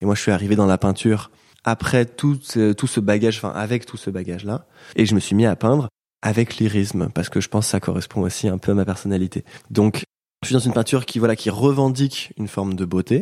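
A man talks at a very fast pace in a fairly low, dark, mellow voice with ordinary pitch variation. The recording is very clean, with a silent background. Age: 20s. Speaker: painter. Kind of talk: interview. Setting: painter's studio near Paris.

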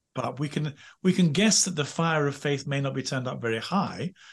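A man's fairly high, somewhat breathy voice with lively intonation at a fairly quick pace. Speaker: former priest and royal chaplain. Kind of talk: interview. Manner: halting.

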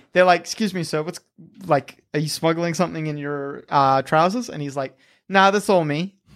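A man with an Australian accent at a moderate pace, ordinary pitch variation, in a very clean recording with a silent background. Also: fairly high pitch for a man. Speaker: podcast host. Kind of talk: casual comedic chat. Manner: joking, animated.

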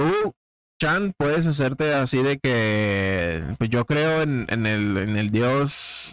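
A man at medium pitch, very slow, with very wide pitch swings and very even loudness, dry and close with no echo. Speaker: podcast host. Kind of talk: casual chat.

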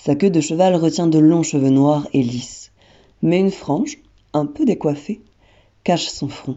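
Using a very deep, low voice, a woman speaks at a fairly slow pace with ordinary pitch variation and long, frequent pauses. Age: 20s. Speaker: theatre student describing a photo portrait. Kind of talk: descriptive narration.

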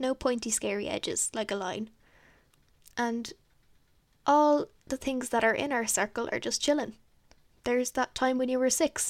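In a nervous tone and a high pitch, a woman speaks with long, frequent pauses in a dry, close sound with no echo, on a very clean recording with a silent background. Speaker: podcast host. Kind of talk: solo casual chat, thinking out loud. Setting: home, talking into a microphone. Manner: fast talker; nervous, chatty.

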